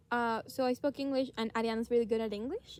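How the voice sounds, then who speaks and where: Speaking very fast with a Spanish accent, a woman keeps a fairly high pitch and fairly even intonation. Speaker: podcast co-host. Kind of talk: casual chat. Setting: outdoors in a forest.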